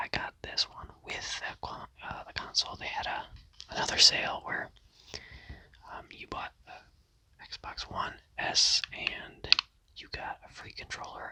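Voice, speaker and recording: Against noticeable background noise, someone whispers in a relaxed tone at a fairly slow pace. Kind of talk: ASMR talk to camera about controllers. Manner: whispered, relaxed.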